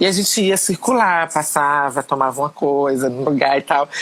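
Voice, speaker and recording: A woman talks in a normal speaking voice. Her pace is moderate, with ordinary pitch variation. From Pernambuco, Brazil. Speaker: educator and politician. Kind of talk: interview answer.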